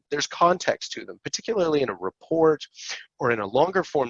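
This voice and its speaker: Speaking fairly quickly with lively intonation, a man has a plain, everyday voice at a fairly high pitch. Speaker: accessibility software company executive presenting a webinar. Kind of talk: webinar tutorial with live software demo. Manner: casual with fillers and self-corrections.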